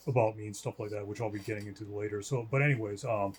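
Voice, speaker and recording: Very fast and somewhat breathy, a man talks with a fairly low pitch and fairly even intonation. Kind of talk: video commentary / religious rebuttal. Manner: hesitant, many fillers.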